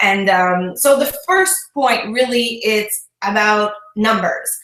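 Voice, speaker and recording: A woman with a French Canadian accent speaks at a very slow pace with lively intonation and very even loudness, in audible room echo. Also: fairly high pitch for a woman. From Quebec, Canada. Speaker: fitness business coach. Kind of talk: online talk with tips.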